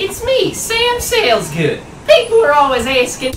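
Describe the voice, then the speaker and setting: Using a put-on character voice, a woman speaks at an extremely high pitch with very wide pitch swings, with clear background noise behind her. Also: moderate pace. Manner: silly, exaggerated.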